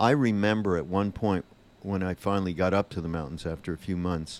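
With a very deep, low voice, a man talks at a moderate pace with ordinary pitch variation. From Montreal, Quebec. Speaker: film producer. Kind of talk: interview. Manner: halting.

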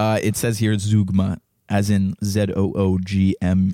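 In a very clean recording with a silent background and a dry, close sound with no echo, a man speaks with a dark, mellow tone at a fairly low pitch, his intonation monotone and flat. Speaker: podcast co-host. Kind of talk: casual chat. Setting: studio with microphones.

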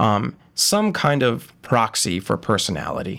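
Recorded very cleanly against a silent background, a man with an American accent and a fairly low pitch speaks with vocal fry and ordinary pitch variation. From western Massachusetts, rural. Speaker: first-year PhD student. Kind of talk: casual interview.

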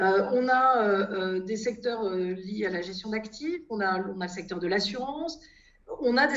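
Her pitch is fairly high for a woman. It varies in an ordinary way. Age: 50s. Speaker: financial regulation consultancy founder. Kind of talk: interview. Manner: halting, with frequent repetitions and hesitations.

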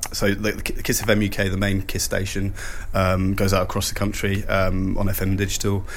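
A man speaks at a moderate pace with fairly even intonation, amid noticeable background noise and audible room echo. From Switzerland, Lake Geneva. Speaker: radio imaging producer and composer. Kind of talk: interview. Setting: hotel, in person.

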